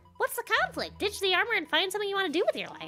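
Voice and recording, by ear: A put-on character voice at a very fast pace, bright and sharp in tone, with very wide pitch swings and faint music in the background. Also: woman, extremely high pitch for a woman.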